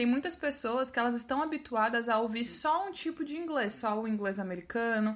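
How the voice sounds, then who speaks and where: Her intonation lively, a woman speaks at a moderate pace with a fairly high pitch. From Brazil, São Paulo and Sergipe. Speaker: English teacher and podcaster. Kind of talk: podcast monologue. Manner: casual, conversational.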